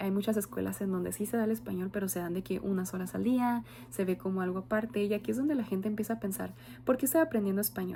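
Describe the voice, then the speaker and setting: Speaking at a very fast pace, a woman with a medium pitch and a dark, mellow tone sounds somewhat breathy and swings her pitch very widely. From Mexico. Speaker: student, future bilingual teacher. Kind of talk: oral class presentation. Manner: some fillers and hesitations.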